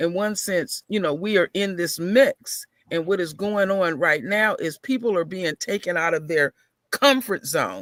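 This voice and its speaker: Raised and projected, this bright, sharp voice moves at a fairly slow pace with ordinary pitch variation in a dry, close sound with no echo. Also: man. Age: 50s. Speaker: caller. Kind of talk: casual chat.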